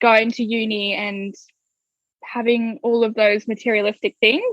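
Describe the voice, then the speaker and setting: In a dry, close recording with no echo, a woman with an Australian accent speaks at a fairly high pitch. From Australia, Gold Coast (Queensland). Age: 20s. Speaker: digital marketing business owner. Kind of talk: interview. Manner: casual, many fillers.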